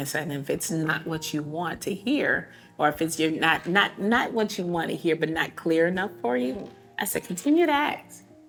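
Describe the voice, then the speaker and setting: A woman with an American accent speaks at a moderate pace in a fairly low pitch. Her intonation is lively, with music in the background. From Texas. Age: 50s. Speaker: cancer survivor and advocate. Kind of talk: casual chat. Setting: nail salon. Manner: soft-spoken.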